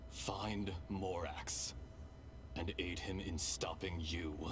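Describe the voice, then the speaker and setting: A man's put-on character voice, very deep and low, at a very slow pace over loud background noise. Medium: game stream. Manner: grave, measured.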